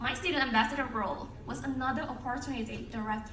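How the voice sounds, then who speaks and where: A woman's high voice at a very fast pace with ordinary pitch variation, amid noticeable background noise and audible room echo. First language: not English. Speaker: alumni speaker. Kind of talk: ceremony speech. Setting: stage with audience. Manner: formal.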